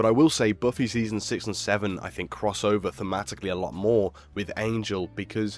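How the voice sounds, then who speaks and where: Music plays in the background. A man talks with a fairly low pitch. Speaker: video essayist. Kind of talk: video essay narration.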